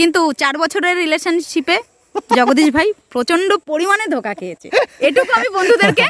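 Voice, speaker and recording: A woman speaks at an extremely high pitch with very wide pitch swings, in a dry, close sound with no echo. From Nadia district, West Bengal. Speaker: folk singer. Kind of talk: casual interview.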